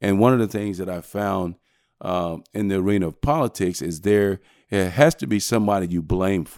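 A man with an ordinary speaking voice and an American accent talks at a moderate pace and a fairly low pitch, with ordinary pitch variation, on a very clean recording with a silent background and a dry, close sound with no echo. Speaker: sheriff candidate, former police chief. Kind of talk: interview.

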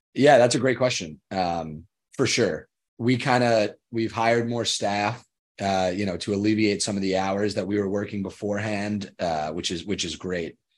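Against a quiet background, a man with a plain, everyday voice speaks at a fairly low pitch. His pace is moderate and his pitch variation ordinary. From Long Island, New York. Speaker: student podcast host. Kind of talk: casual panel discussion.

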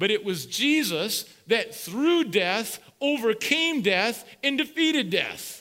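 Amid noticeable background noise, a man in a raised, projected voice speaks very slowly at an extremely high pitch, swinging very widely in pitch. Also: very even loudness. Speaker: pastor. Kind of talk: sermon. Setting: church.

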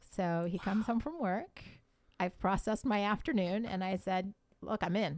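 On a very clean recording with a silent background, a woman speaks in an ordinary speaking voice with an American accent, at a moderate pace and medium pitch with ordinary pitch variation. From Columbus, Ohio. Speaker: marriage podcaster. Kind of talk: casual interview.

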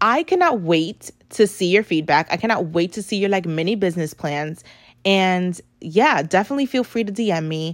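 A woman speaks at a moderate pace with medium pitch and lively intonation, on a very clean recording with a silent background. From New York City (the Bronx), Puerto Rican and Dominican family. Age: 30s. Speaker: podcast host and social media strategist. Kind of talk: casual monologue with tips. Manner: chatty, many fillers like "um" and "like".

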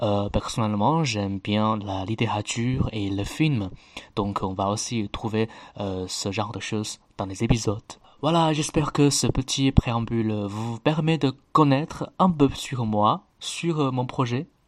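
Very slow speech in a Chinese accent, with ordinary pitch variation. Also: man, medium pitch for a man. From China, Chengdu. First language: Chinese (speaking French). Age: 20s. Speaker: podcast host. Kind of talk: podcast intro monologue. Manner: hesitant, with fillers.

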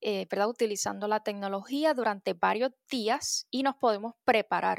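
The voice is an unremarkable speaking voice, with ordinary pitch variation and a fairly slow pace. The sound is dry and close with no echo, on a very clean recording with a silent background. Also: woman. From Puerto Rico. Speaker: meteorologist. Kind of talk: educational interview for children.

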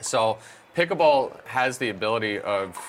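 Noticeable background noise accompanies a man with an Australian accent. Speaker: pickleball coach and commentator. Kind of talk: interview.

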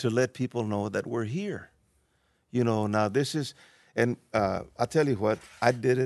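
A man with an American accent talks at a moderate pace and a medium pitch, with ordinary pitch variation. The sound is dry and close with no echo, the background is quiet, and long pauses come often. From Texas. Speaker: podcast co-host, musician and Marine veteran. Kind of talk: casual interview.

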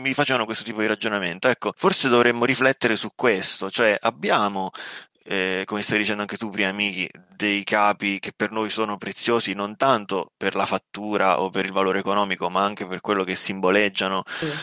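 The voice has a bright, sharp tone and fairly even intonation. It moves along at a fairly quick pace. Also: man, fairly low pitch for a man, dry, close sound with no echo. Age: 20s. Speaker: podcast co-host and professional interpreter. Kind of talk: casual chat.

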